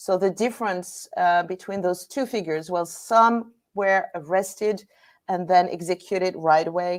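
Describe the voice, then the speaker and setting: With a French accent, a woman speaks at a fairly slow pace and medium pitch, with ordinary pitch variation, in a very clean recording with a silent background. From Normandy, France. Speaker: battlefield guide and historian. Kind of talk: guest presentation. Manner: halting.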